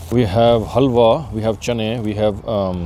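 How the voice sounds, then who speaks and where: The sound is dry with no echo, and light background noise can be heard. Pitch variation is ordinary. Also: man. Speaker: food vlogger. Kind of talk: casual vlog chat. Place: open country. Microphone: phone near.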